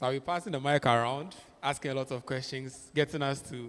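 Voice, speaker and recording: At a moderate pace and medium pitch, a man talks with fairly even intonation in an ordinary speaking voice. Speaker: clinical psychologist. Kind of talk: interactive talk. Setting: church.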